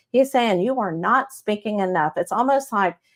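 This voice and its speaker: A woman with a Texas accent speaks in an animated tone at a fairly high pitch, on a very clean recording with a silent background. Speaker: psychic medium show host. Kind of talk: live psychic reading stream. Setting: live stream on Facebook and YouTube. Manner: animated, chatty.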